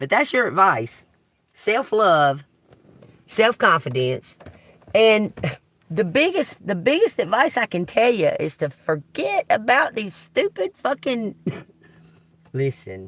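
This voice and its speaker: With a Southern US accent and vocal fry, a woman speaks at a fairly high pitch with very wide pitch swings. Her pace is very slow, with long, frequent pauses. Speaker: tarot reader. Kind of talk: live tarot reading. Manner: animated.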